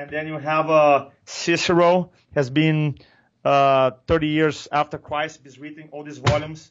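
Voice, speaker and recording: A man with a Brazilian accent talks at a fairly slow pace in a fairly high pitch. His intonation is monotone and flat, yet his loudness swings widely. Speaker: public speaking coach. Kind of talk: interview.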